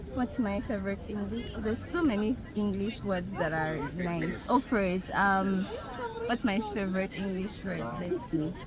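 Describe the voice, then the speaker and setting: Someone with a Ugandan accent speaks at a fairly slow pace with ordinary pitch variation, amid crowd noise in the background and an audible room echo. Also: woman, medium pitch for a woman. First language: Luganda. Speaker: street interviewee. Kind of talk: street interview.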